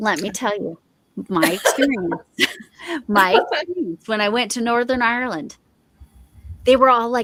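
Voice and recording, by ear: Speaking with a Midwestern accent, a woman uses lively intonation at a moderate pace, with long, frequent pauses. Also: fairly high pitch for a woman. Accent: mild Midwestern American.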